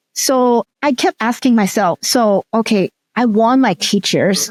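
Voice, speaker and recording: A woman with a Cantonese accent and ordinary pitch variation, recorded dry and close with no echo in a very clean recording with a silent background. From Hong Kong. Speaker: teacher educator and researcher. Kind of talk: interview.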